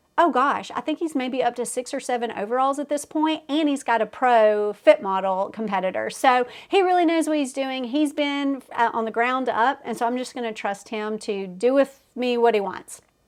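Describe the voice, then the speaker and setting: A high-pitched woman talks with a Southern US accent at a moderate pace, with hardly any pauses. The recording is very clean, with a silent background. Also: ordinary pitch variation. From US South. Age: 40s. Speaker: fitness competitor and coach. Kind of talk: casual vlog update. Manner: chatty, many fillers.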